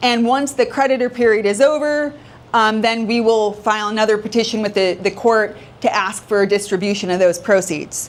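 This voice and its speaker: Against audible room echo, a woman talks at a fairly quick pace in a fairly high pitch with ordinary pitch variation. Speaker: probate attorney. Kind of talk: lecture. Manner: fast.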